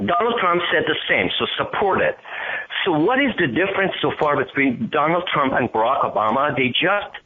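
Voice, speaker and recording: With noticeable background noise behind him, a man speaks at a moderate pace in a high voice with very wide pitch swings and very even loudness. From Iran. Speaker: caller. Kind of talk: call-in question. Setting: phone call.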